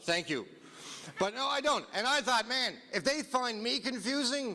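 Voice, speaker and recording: Projecting a raised voice, the man speaks with a Newfoundland accent in a bright, sharp tone. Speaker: comedian. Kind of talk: stand-up. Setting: stage with audience. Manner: animated.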